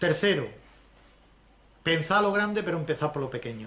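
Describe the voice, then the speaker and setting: Audible room echo surrounds a man with an Andalusian accent whose pitch varies in an ordinary way. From Andalusia, Spain. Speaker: lecturer on social economy. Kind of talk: lecture.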